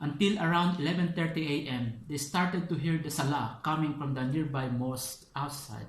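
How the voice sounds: A man speaks at a moderate pace with a fairly high pitch and ordinary pitch variation. Strong room echo surrounds his voice.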